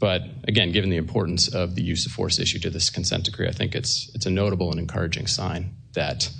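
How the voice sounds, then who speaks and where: Audible room echo surrounds a very fast delivery with ordinary pitch variation. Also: man. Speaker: government attorney. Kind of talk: court hearing statement. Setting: courtroom at lectern. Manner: soft-spoken.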